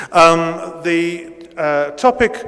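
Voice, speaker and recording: Over noticeable background noise, a man talks with a British accent. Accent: near-native British English. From Italy, raised in Britain from age eight. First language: Italian. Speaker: professor. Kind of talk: lecture. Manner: hesitant, many fillers.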